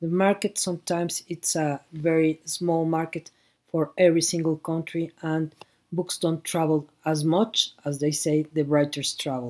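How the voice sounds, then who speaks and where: A woman with a Mexican accent speaks at a fairly slow pace in a fairly low pitch. The recording is very clean, with a silent background. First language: Spanish. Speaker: book fair director. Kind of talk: conference talk. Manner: halting.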